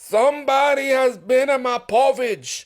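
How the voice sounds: A man speaks at a fairly slow pace in a put-on character voice. His pitch is extremely high.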